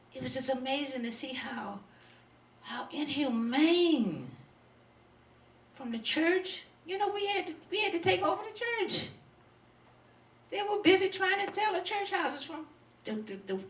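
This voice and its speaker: A woman with an American accent speaks at a moderate pace in an extremely high pitch, her pitch swinging very widely, with long, frequent pauses and audible room echo. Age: 70s. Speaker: community activist. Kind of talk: speech to an audience. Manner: halting.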